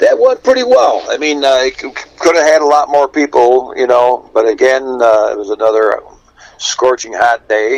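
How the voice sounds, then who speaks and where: Over noticeable background noise, a man speaks with an American accent. His pace is moderate. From Buffalo, New York. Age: 70s. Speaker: polka band musician. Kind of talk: casual chat. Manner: halting.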